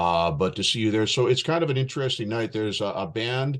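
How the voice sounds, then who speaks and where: Fairly quick speech with very wide pitch swings, over a quiet background. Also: man. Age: 60s. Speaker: radio host and MC. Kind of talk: casual interview chat.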